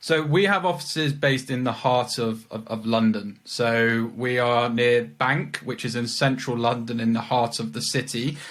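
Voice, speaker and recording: A man with a British accent at a medium pitch, moderate in pace, with ordinary pitch variation and hardly any pauses. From England, Leicestershire. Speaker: legal recruiter. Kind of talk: interview. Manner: repeats words, halting.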